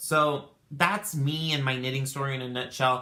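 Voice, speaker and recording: A man speaks with a bright, sharp tone. Room echo is audible. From Tucson, Arizona. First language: Spanish. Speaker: knitting podcaster. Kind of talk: casual chat. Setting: home craft room. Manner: halting, many fillers.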